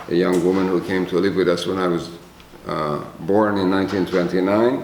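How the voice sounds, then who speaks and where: Amid noticeable background noise and audible room echo, a man with a very deep, low pitch speaks at a moderate pace with fairly even intonation. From Czechoslovakia, ethnic Hungarian. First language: Hungarian. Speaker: Holocaust survivor. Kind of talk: testimony.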